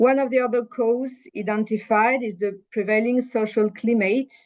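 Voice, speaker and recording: Someone speaks at a fairly slow pace with a French accent. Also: woman. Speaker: panelist. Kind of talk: panel discussion presentation. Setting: webinar. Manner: halting, many fillers.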